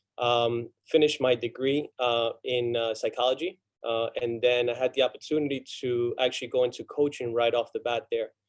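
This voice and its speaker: With a Spanish accent, a man speaks at a moderate pace and medium pitch in a monotone, flat intonation, with hardly any pauses. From Argentina. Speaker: college soccer coach. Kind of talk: panel talk. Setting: video call. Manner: halting.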